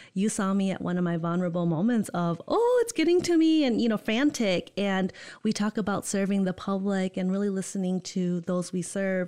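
A dark, mellow tone with a Michigan accent and hardly any pauses. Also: woman, medium pitch for a woman, ordinary pitch variation. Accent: US Midwest (Michigan). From Holland, Michigan. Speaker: college student engagement coordinator. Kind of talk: casual interview. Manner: enthusiastic.

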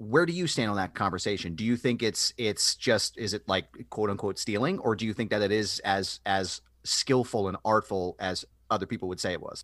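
This is a man with an ordinary speaking voice, fairly low in pitch and with ordinary pitch variation. He talks at a fairly quick pace, and the sound is dry and close with no echo. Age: 30s. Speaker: podcast host. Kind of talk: casual interview.

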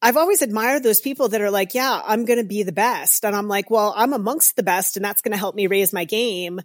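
With an unremarkable speaking voice, a woman talks at a fairly quick pace and fairly high pitch, with ordinary pitch variation and hardly any pauses. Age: 50s. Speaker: professional triathlete and race announcer. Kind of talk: interview. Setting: video call.

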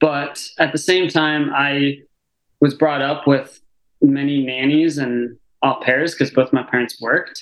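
A man's fairly high, monotone voice with flat intonation, at a fairly slow pace. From Arizona. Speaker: physical therapist. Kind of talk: casual chat.

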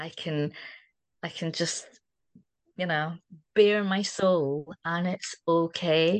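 A woman with a Scottish accent, fairly low in pitch, at a very slow pace with long, frequent pauses, fairly even intonation, and a dry, close sound with no echo against a quiet background. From Scotland. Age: 60s. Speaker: community member. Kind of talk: casual chat.

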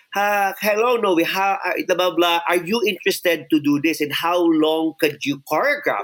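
A man with a Filipino accent speaks at a high pitch. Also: lively intonation, moderate pace, very even loudness. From Philippines, Iloilo City. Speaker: choreographer. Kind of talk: interview storytelling, Taglish. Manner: animated.

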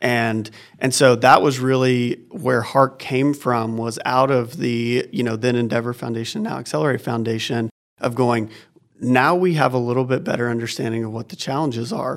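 A man keeps fairly even intonation and a medium pitch while talking at a moderate pace. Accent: American. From Oklahoma. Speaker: nonprofit executive director. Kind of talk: interview. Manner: halting, many fillers.

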